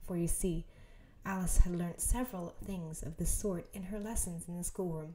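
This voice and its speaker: A soft-spoken woman's calm, somewhat breathy voice, dark and mellow, fairly low in pitch with ordinary pitch variation, at a moderate pace. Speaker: ASMR creator. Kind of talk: bedtime story reading. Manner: softly spoken, calm.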